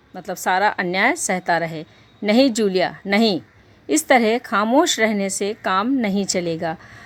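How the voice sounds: This is a natural reading voice. The delivery stays in a natural reading voice throughout.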